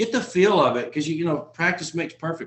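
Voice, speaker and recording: A man speaks with a Texan accent. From Texas. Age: 40s. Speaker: insurance agent trainer. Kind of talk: online training session.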